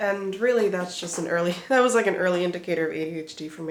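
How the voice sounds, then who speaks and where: A woman speaks very fast with ordinary pitch variation. Her pitch sits fairly low, and there is noticeable background noise. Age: 20s. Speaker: booktuber. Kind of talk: casual chat. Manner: casual, filler-heavy.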